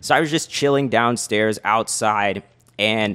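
In a very clean recording with a silent background, a man with a plain, everyday voice talks at a medium pitch with ordinary pitch variation. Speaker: podcast co-host, entrepreneur. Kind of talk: casual chat.

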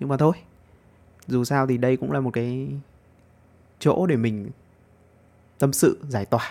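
A man with a medium pitch and a dark, mellow tone speaks at a moderate pace. His pitch varies in an ordinary way, with long, frequent pauses. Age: 20s. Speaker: podcaster. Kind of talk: casual monologue.

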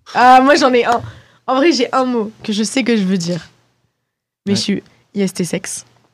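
On a very clean recording with a silent background, the speaker uses lively intonation at a fairly slow pace, with long, frequent pauses. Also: woman, fairly high pitch for a woman. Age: 20s. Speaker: student podcast host. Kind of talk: casual chat among friends.

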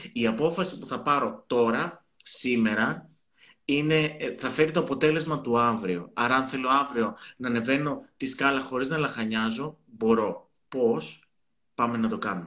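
Speaking fairly slowly at a medium pitch, this man has an ordinary speaking voice with ordinary pitch variation. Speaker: psychotherapist. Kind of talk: casual chat.

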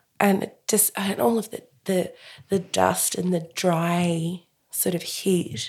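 A woman with an Australian accent, fairly low in pitch, speaking at a very slow pace with ordinary pitch variation. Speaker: podcast host. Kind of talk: casual interview.

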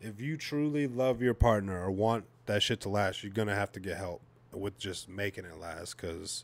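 A man's fairly low, unremarkable speaking voice, with ordinary pitch variation and big swings in loudness. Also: moderate pace. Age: 30s. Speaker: new parent. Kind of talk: casual chat.

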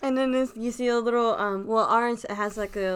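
A woman talks in a normal speaking voice. Her pitch varies in an ordinary way, and her pace is fairly quick. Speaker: guest, fast food worker and student. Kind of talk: casual chat.

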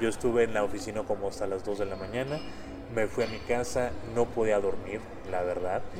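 Fairly low male pitch and fairly even intonation, with noticeable background noise and audible room echo. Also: fairly quick pace. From Monterrey, northern Mexico. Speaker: former trade official and negotiator. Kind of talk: interview conversation.

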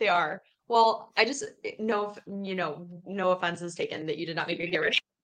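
In a plain, everyday voice, a woman talks at a moderate pace with medium pitch and ordinary pitch variation. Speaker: podcast co-host, youth center staff. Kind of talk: casual chat.

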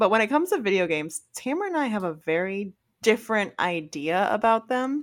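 A woman at a fairly quick pace, her pitch swinging very widely. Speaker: podcast co-host. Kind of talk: casual chat.

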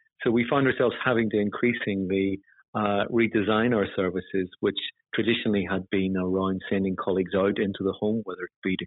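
With a Northern Irish accent, a man speaks fast-ish at a fairly quick pace, using a fairly low pitch and fairly even intonation. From Northern Ireland. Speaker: housing chief executive. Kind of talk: formal interview about leadership. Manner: formal, measured.

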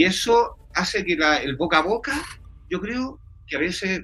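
Here a man is speaking. His tone is bright and sharp. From Chile, Santiago. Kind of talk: interview.

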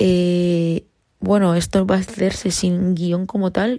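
Very slow and fairly low-pitched, a woman's dark, mellow voice comes through dry and close with no echo. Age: 20s. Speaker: podcaster, university student. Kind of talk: casual monologue. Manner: spontaneous, unscripted.

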